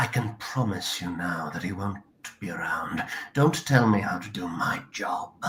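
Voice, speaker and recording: A man puts on a raspy character voice with a fairly low pitch. He speaks at a moderate pace. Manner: stern.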